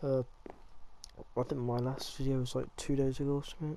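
The speaker uses flat, monotone intonation with an English accent over noticeable background noise. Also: man. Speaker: gaming youtuber. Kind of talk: gameplay commentary. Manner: casual, halting.

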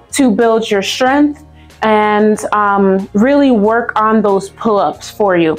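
A woman speaks at a very slow pace with ordinary pitch variation. Faint music plays in the background. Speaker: fitness instructor. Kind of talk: tutorial. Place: gym. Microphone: camera far.

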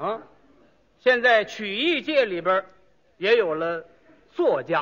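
Very slowly, a man speaks with a high pitch, a bright, sharp tone and very wide pitch swings. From Tianjin. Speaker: crosstalk comedian. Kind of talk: comic crosstalk dialogue on stage. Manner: clear, natural delivery.

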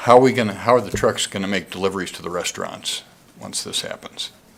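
With noticeable noise behind him, a man speaks at a very fast pace. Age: 60s. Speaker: public commenter, downtown business owner. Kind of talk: public comment at city council meeting. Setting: city council chamber. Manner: animated.

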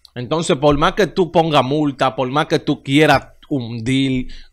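A man with a fairly high pitch, speaking at a very slow pace against a quiet background. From Dominican Republic. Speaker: baseball YouTube show host. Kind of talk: casual sports commentary monologue. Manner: animated. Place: studio. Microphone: studio mic.

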